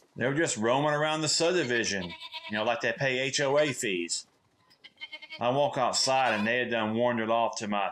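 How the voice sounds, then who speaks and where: At a moderate speed, a man talks in a Southern US accent. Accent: Southern American. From Southern United States. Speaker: comedic storyteller. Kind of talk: comedic monologue, casual story to camera.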